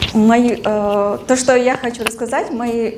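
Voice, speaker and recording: Against noticeable background noise and audible room echo, a woman speaks at a fairly high pitch with fairly even intonation. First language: Russian. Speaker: alumna speaker. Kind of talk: talk to live audience. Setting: stage with audience. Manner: casual, relaxed.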